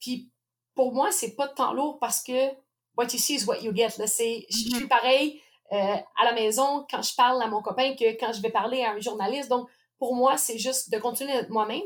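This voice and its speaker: A woman's high voice at a moderate pace, ordinary pitch variation throughout. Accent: Quebec. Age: 30s. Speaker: professional boxer. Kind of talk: interview.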